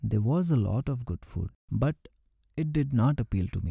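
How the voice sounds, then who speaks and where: A man's dark, mellow, somewhat breathy voice at a moderate pace with ordinary pitch variation, on a very clean recording with a silent background and a dry, close sound with no echo. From India, Karnataka. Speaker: memoir narrator. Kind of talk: reading aloud.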